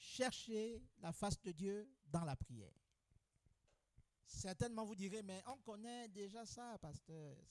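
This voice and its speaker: Speaking very slowly with long, frequent pauses, a high-pitched man uses lively intonation in a dry, close sound with no echo. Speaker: pastor. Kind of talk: sermon.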